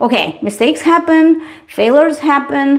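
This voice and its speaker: With a Russian accent, a woman speaks at a moderate pace amid noticeable background noise. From Eastern Europe. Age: 40s. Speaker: beauty livestreamer. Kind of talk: casual livestream chat.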